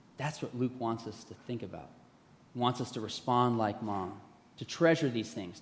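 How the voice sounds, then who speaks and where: Audible room echo surrounds a man speaking at a medium pitch and moderate pace with ordinary pitch variation. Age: 50s. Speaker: pastor. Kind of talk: sermon.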